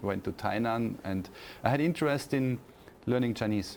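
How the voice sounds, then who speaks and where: Speaking in a German accent, a man keeps a medium pitch and ordinary pitch variation at a fairly slow pace. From Austria. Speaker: university professor. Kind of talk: interview. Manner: hesitant, many fillers and repeats.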